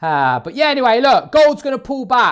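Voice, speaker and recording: Loud and full of very wide pitch swings, this man's voice comes through on a very clean recording with a silent background. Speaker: forex trader. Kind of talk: live trading commentary. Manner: animated.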